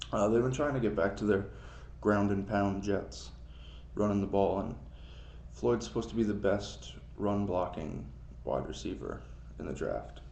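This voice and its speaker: Amid audible room echo, a man speaks with vocal fry and very wide pitch swings, leaving long, frequent pauses. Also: fairly low pitch for a man, moderate pace. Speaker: amateur sports vlogger. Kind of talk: casual solo commentary, NFL mock draft. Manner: casual, hesitant with fillers.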